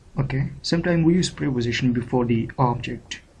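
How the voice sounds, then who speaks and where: With a Pakistani accent, a man speaks at a fairly quick pace in a medium-pitched, somewhat breathy voice. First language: Urdu. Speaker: English teacher. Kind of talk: tutorial. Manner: hesitant, frequent fillers (uh, okay).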